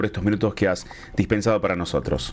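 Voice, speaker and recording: A man with an unremarkable speaking voice, ordinary pitch variation and a fairly quick pace. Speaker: radio host. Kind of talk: radio interview.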